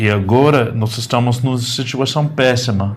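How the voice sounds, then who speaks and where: A man with an American accent speaks at a fairly slow pace and medium pitch, with ordinary pitch variation, a somewhat breathy sound and audible room echo. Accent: foreign (American) accent in Portuguese. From United States. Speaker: journalist. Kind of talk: interview. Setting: studio. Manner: halting, hesitant.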